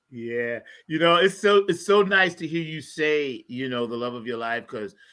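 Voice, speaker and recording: On a very clean recording with a silent background, a man with a New York accent speaks at a moderate pace in a fairly high pitch, his bright, sharp, animated tone carrying lively intonation and big swings in loudness. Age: 60s. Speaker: podcast host and music maker. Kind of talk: casual interview chat.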